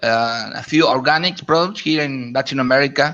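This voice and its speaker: A man talks with a Spanish accent. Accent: Spanish-speaking accent in English. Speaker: shop owner and network marketer. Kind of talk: casual group chat. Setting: live video chat online. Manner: halting, many repetitions.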